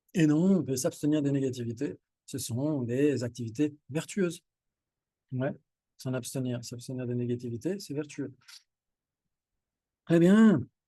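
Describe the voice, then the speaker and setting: A man's dark, mellow tone at a fairly slow pace, broken by long, frequent pauses. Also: medium pitch for a man, ordinary pitch variation. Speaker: Buddhist teacher. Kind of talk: dharma teaching to a group. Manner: animated.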